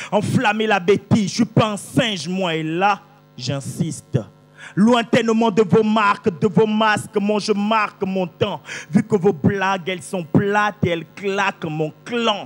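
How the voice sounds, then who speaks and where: Over music in the background, a man with a high pitch and ordinary pitch variation speaks at a very slow pace. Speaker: slam poet. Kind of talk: slam poetry performance. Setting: live stage.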